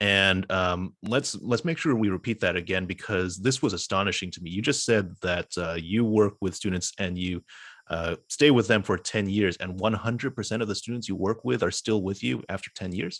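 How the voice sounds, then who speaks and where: A man uses a plain, everyday voice at a fairly low pitch, with ordinary pitch variation and hardly any pauses. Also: moderate pace, very clean recording, silent background. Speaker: neighborhood association president. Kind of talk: meeting moderation.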